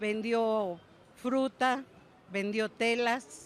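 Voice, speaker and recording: A woman's fairly high voice at a very slow pace with fairly even intonation. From Mexico City. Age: 60s. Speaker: market vendor. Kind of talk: interview.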